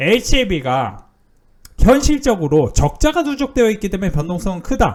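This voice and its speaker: A man's high voice swings very widely in pitch. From Seoul, South Korea. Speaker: stock market YouTuber. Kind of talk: stock analysis commentary. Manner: halting, many fillers.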